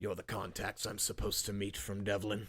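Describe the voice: A man puts on a gruff, raspy character voice, fairly low in pitch and flat in intonation, delivered at a fairly quick pace.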